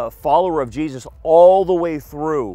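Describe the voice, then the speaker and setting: Over faint background music, a man talks at a moderate pace with ordinary pitch variation, the sound dry with no echo. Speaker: tour guide pastor. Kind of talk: lecture. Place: waterside. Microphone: headset.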